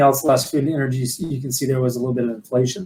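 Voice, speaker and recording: A man talks in a medium pitch with a somewhat breathy voice. His intonation stays fairly even. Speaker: financial advisor and firm CEO. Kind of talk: webinar presentation. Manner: fast.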